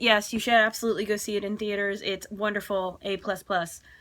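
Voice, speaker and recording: A woman talks at a medium pitch. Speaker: film reaction vlogger. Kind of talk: casual vlog review. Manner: loud; halting, many fillers.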